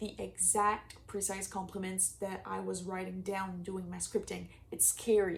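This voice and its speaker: The speaker has a French accent and keeps a moderate pace. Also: woman. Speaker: manifestation coach. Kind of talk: casual vlog advice. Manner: casual, filler-heavy speech.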